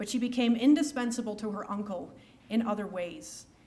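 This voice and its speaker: A woman's fairly high, somewhat breathy voice with an American accent. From United States. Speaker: historian. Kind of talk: lecture. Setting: stage with audience.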